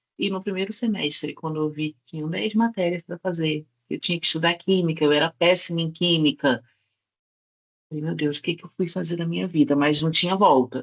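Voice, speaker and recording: A woman with a Rio de Janeiro accent at a fairly low pitch and moderate pace, with a dry, close sound and no echo. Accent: carioca (Rio de Janeiro). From Brazil, Rio de Janeiro. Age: 30s. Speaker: nutritionist, workshop speaker. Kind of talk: online workshop talk.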